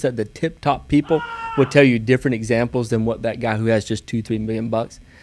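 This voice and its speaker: A man with a Southern US accent speaks at a medium pitch with fairly even intonation. Background noise is noticeable. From US South, small town. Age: 30s. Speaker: real estate investor. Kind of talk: podcast interview.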